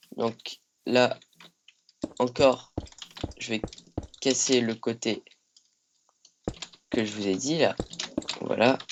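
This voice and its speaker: The delivery is very slow. Long gaps between the words come often. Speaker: Minecraft YouTuber. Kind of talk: tutorial. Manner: hesitant, many fillers.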